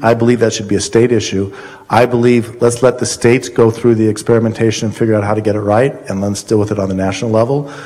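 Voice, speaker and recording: A man with an American accent talks at a very fast pace, at a medium pitch with monotone, flat intonation. Noticeable background noise runs under his voice. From Colorado. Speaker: congressional candidate, former congressman. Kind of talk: candidate forum. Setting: college hall with audience.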